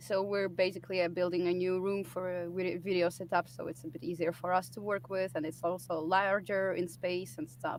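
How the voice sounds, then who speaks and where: With a non-native accent, a woman speaks at a fairly quick pace with hardly any pauses. Her pitch is fairly low, with ordinary variation. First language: not English. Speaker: musician. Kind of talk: casual interview.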